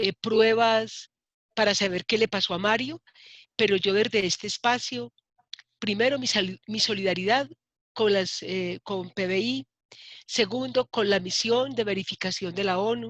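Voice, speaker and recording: Delivered at a fairly slow pace with ordinary pitch variation, an unremarkable speaking voice comes through with a dry, close sound and no echo. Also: woman, medium pitch for a woman. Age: 60s. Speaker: human rights activist and politician. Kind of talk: interview.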